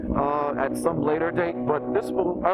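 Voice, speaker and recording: Music plays in the background as a man speaks. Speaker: motorcycle vlogger. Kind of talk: motovlog while riding. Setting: outdoors on a motorcycle. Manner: hesitant, many fillers.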